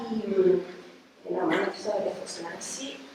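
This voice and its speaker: Noticeable background noise and audible room echo accompany a woman's voice. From Venezuela. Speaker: architect and university researcher. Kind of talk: lecture. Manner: halting, many fillers.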